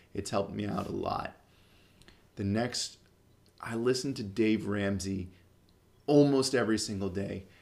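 Fairly low in pitch, a man talks at a moderate pace with ordinary pitch variation. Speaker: military finance podcaster. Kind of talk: podcast monologue, recommendations. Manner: casual, conversational.

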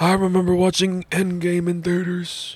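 This is a put-on character voice at a middle pitch. It moves at a moderate pace with monotone, flat intonation. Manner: imitating an old man's voice.

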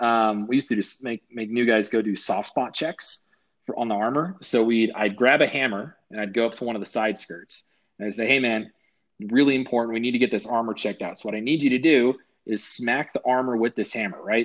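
Against a quiet background, a man talks at a fairly quick pace with a medium pitch. He has an ordinary speaking voice with ordinary pitch variation. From US, military family, moved around; high school in Colorado. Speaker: army veteran and pilot. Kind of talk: casual interview.

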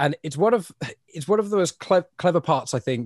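A man with an English accent talks at a fairly quick pace, somewhat breathy, with very wide pitch swings. The sound is dry and close with no echo, and the background is quiet. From England. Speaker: podcast host. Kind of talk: casual chat.

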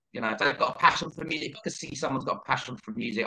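A man speaks with a London accent. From northeast London, England. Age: 40s. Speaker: DJ. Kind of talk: casual chat. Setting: podcast recorded in tape mode.

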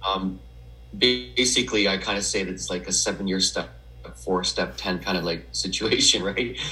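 A man with a Canadian accent speaks in a very deep, low pitch with vocal fry and a bright, sharp tone. His pitch swings very widely, and the room echo is audible. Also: moderate pace. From Western Canada (Edmonton, Alberta). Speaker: memoir author in recovery. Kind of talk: personal testimony interview. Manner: halting, many fillers.

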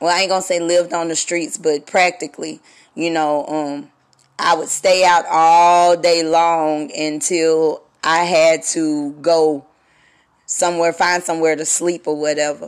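In a Southern US accent, the speaker goes at a fairly slow pace in a flat monotone, captured on a very clean recording with a silent background. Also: woman, fairly low pitch for a woman. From US South. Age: 30s. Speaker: radio host. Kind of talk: solo podcast monologue. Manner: casual, halting with fillers.

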